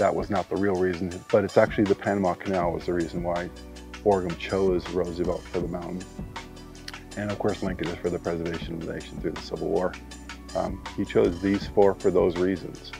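A man's very deep, low voice at a fairly quick pace with fairly even intonation, in dry sound with no echo and clear music behind it. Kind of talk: interview answer. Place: forest. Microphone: lapel.

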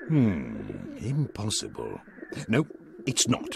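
Putting on a character voice, a man speaks slowly in a low register with vocal fry and very wide pitch swings.

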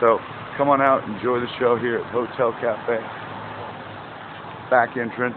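Clear background noise sits behind a man speaking at a fairly slow pace. His pitch is medium and his intonation fairly even.

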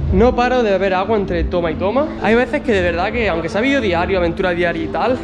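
Clear music plays in the background. Over it, a man talks at a very fast pace. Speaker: vlogger. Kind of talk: casual vlog chat. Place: gym. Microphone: phone near.

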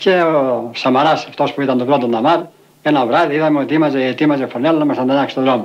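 Here a man has a normal speaking voice, fairly high in pitch. He talks at a fairly quick pace with fairly even intonation. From Arta, Epirus, Greece. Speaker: settler, former leather dyer. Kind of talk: documentary interview testimony.

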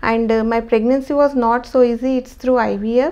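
A woman with an Indian accent speaks at a fairly slow pace in a high pitch. Her tone is dark and mellow, with fairly even intonation. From India, Hyderabad. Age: 30s. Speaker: patient, new mother. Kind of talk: testimony. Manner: halting, with frequent fillers. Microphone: lapel.

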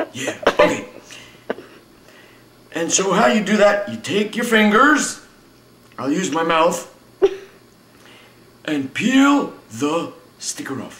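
Putting on a cartoonish character voice, a man speaks fairly slowly at a high pitch, with long, frequent pauses. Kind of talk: comic overacting. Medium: puppet show. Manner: chipper, goofy, rambling.

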